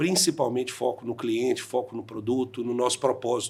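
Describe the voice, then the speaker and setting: At a moderate pace, a man talks with medium pitch in a plain, everyday voice. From Brazil, interior of Minas Gerais. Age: 40s. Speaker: insurance franchise owner. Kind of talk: podcast interview.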